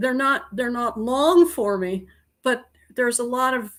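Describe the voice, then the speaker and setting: A woman with an American accent speaks at a high pitch and moderate pace on a very clean recording with a silent background. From Montana, US. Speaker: author and illustrator. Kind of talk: casual interview chat.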